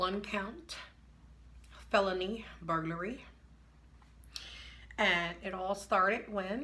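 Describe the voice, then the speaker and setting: The speaker goes at a very slow pace with long, frequent pauses and ordinary pitch variation. The tone is bright and sharp, with audible room echo. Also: woman, medium pitch for a woman. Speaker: vlogger. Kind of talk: personal story time. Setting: indoors at home. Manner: hesitant, many fillers.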